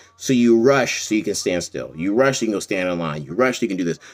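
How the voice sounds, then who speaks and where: This man talks at a very fast pace in a fairly low pitch, with lively intonation. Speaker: comedian and actor. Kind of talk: casual monologue. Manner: loud.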